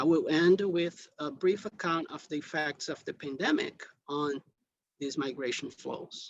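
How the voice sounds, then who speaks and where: A man with a high voice speaks in a non-native accent. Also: fairly even intonation. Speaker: invited lecturer. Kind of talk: lecture. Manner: deliberately slow; hesitant, many fillers.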